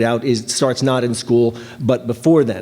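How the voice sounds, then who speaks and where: A man talks at a medium pitch with fairly even intonation. Noticeable background noise sits behind him. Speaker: education policy researcher. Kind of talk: conference panel presentation. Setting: conference panel with audience. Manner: fast.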